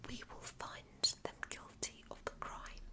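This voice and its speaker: Whispering at a very slow pace over noticeable background noise. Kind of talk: ASMR audiobook reading of a philosophical essay. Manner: whispered, soft-spoken.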